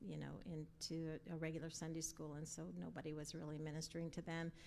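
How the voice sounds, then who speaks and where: A woman speaks in an American accent at a fairly low pitch. Her intonation is monotone and flat, with audible room echo. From Colorado. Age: 70s. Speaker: pastor's wife. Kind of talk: interview. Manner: halting.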